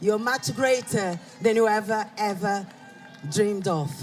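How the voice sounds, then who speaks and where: Very slow speech over background music. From Brazil. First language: Portuguese. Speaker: rally speaker. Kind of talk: public speech.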